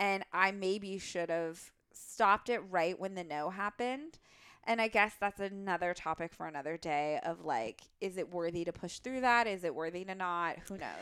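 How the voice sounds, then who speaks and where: A woman talks at a moderate pace in a medium pitch with ordinary pitch variation. Her tone is animated. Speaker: podcast co-host. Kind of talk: casual chat.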